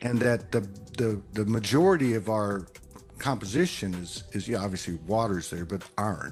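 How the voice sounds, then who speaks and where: Music in the background behind a man's fairly low voice in a Texas accent, with ordinary pitch variation. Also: moderate pace. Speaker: spiritual podcaster. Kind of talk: casual chat. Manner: halting, many fillers and repeats.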